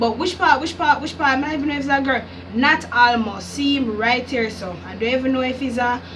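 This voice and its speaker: A woman with a Jamaican accent talks at a fairly quick pace in an animated tone and a high pitch, with noticeable background noise and audible room echo. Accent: Jamaican patois-inflected English. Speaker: YouTuber, music reactor. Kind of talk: casual vlog reaction.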